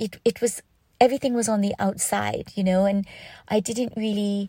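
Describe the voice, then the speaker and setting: A woman speaks in a somewhat breathy, medium-pitched voice with fairly even intonation. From Canada. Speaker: guest sharing story. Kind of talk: interview.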